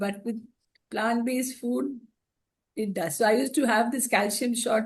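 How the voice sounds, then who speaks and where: A woman speaks at a fairly high pitch with fairly even intonation. Her voice is somewhat breathy. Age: 60s. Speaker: cancer survivor and mother. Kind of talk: panel discussion, personal testimony.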